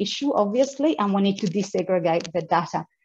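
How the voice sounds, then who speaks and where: Somewhat breathy and medium in pitch, a woman talks at a fairly quick pace with ordinary pitch variation. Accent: non-native. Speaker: women's advocacy organisation founder. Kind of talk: event speech. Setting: video call. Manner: halting, many repetitions.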